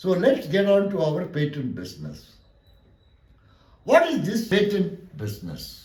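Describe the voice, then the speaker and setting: A man with a Tamil accent speaks fairly slowly at a high pitch with lively intonation, big swings in loudness, and long, frequent pauses. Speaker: law lecturer. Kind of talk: lecture.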